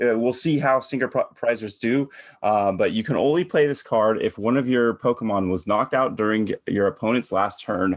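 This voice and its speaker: A man's normal speaking voice with an American accent, medium pitch, ordinary pitch variation, very even loudness, a moderate pace, hardly any pauses, and a quiet background. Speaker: podcast host. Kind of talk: casual chat.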